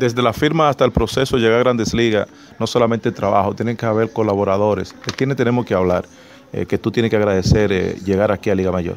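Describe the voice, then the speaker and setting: A man with a fairly low pitch and ordinary pitch variation talks at a very fast pace over light background noise. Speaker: sports journalist and radio announcer. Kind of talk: interview questions. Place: stadium. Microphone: phone near.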